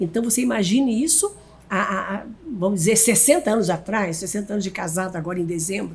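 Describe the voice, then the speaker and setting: A woman's fairly high, somewhat breathy voice with a dark, mellow tone. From Brazil, Paraná. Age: 80s+. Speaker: pastor. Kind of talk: casual chat. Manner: halting.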